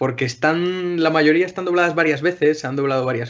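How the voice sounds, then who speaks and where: Fairly even intonation in a man's voice, a normal speaking voice. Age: 20s. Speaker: podcast panelist. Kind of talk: casual chat.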